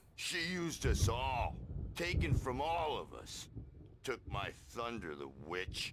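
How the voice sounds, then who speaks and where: In a raspy, put-on character voice of medium pitch, a man speaks at a fairly slow pace with big swings in loudness and long, frequent pauses, over clear background noise. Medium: video game. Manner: gruff, excitable.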